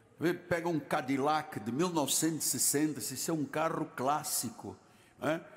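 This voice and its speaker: Spoken at a moderate pace with ordinary pitch variation, the clip has audible room echo and noticeable background noise. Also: man, fairly high pitch for a man. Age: 70s. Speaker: pastor. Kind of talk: sermon. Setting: church.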